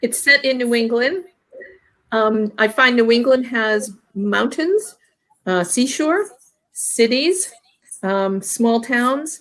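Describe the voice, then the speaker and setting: A woman with a high pitch speaks at a very slow pace, leaving long, frequent pauses. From Vermont. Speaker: romance author and librarian. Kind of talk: panel discussion. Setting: video call. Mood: friendly, relaxed. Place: home room. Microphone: echo; webcam.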